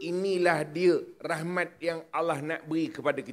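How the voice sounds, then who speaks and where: The pace is fairly slow. A man delivers it in an animated tone. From Melaka, Malaysia. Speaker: religious preacher. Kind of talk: religious public lecture. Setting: outdoor stage with audience. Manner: animated, humorous.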